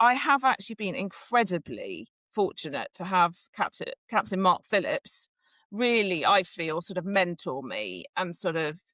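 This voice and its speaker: With very wide pitch swings and some vocal fry, a woman talks at a moderate pace in a bright, sharp tone, recorded dry and close with no echo. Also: medium pitch for a woman. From England, Devon. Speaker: cross-country course designer. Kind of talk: podcast interview.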